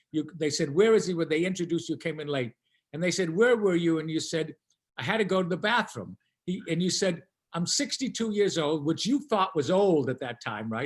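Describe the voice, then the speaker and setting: With an American accent, a man speaks fairly quickly at a high pitch with lively intonation. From Boston area, Massachusetts (Chelsea). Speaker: children's book author. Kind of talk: casual interview chat.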